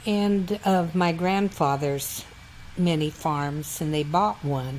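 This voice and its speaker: With a western US accent, a woman speaks at a fairly slow pace, her pitch fairly low and her intonation fairly even. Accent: rural western US. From Wyoming, Bighorn County. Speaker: oral history interviewee. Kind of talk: oral history interview.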